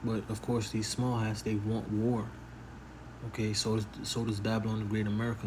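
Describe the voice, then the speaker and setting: A soft-spoken man with fairly low pitch and monotone, flat intonation, in audible room echo. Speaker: religious commentator. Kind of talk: casual monologue.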